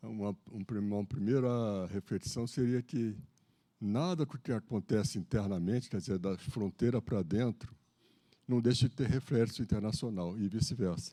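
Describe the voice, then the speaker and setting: In a very clean recording with a silent background, a man speaks at medium pitch. His tone is dark and mellow, his pace moderate, and his pitch variation ordinary. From Brazil, Rio de Janeiro. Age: 70s. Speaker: lecturer, retired naval officer. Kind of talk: lecture. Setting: stage with audience. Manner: casual, joking.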